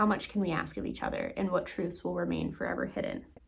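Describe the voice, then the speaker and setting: A woman rushes along at a very fast pace amid noticeable background noise. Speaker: book reviewer. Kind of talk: reading a book description aloud. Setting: home, loud heater noise.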